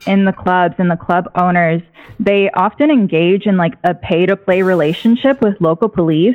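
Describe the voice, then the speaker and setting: A woman with an American accent and a medium pitch speaks at a moderate pace with ordinary pitch variation, an unremarkable speaking voice. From rural Texas. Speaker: caller, stripper and labor organizer. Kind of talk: call-in radio conversation. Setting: phone call.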